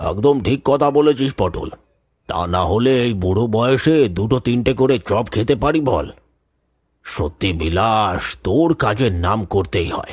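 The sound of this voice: A man's cartoonish character voice at medium pitch, moderate in pace with lively intonation, on a very clean recording with a silent background.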